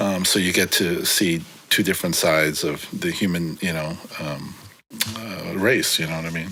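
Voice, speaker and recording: There is audible room echo and noticeable background noise around a man's very deep, low voice. He speaks in a relaxed tone at a moderate pace. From San Francisco, California. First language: Korean. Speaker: graffiti writer. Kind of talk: casual interview. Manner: relaxed, many fillers.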